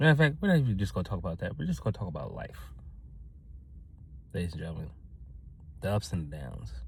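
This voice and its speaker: Very fast male speech, very deep and low, with vocal fry and very wide pitch swings. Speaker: motivational vlogger. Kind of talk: motivational talk to camera. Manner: loud; energetic.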